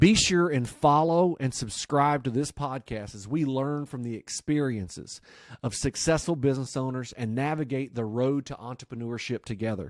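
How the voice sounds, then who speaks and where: With a Southern US accent, a man talks at a moderate pace and medium pitch with ordinary variation and big swings in loudness, in a very clean, dry, close recording with no echo and a silent background. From US South. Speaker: podcast host. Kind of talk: scripted intro; interview.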